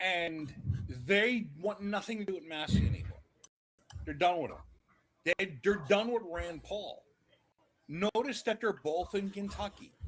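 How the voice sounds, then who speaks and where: In a New York accent, a man with a high pitch speaks at a fairly slow pace, with ordinary pitch variation and long, frequent pauses. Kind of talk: casual chat.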